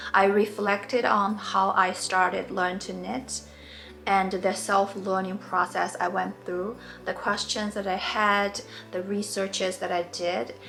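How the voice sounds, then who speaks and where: With music in the background, a woman with a Mandarin accent speaks at a medium pitch, fairly slowly and with fairly even intonation. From China. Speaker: knitting tutor. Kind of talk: tutorial.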